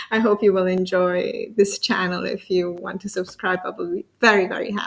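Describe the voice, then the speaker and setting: This woman has an Italian accent. She speaks at a moderate pace. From Italy. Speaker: interview show host. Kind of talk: interview. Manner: halting.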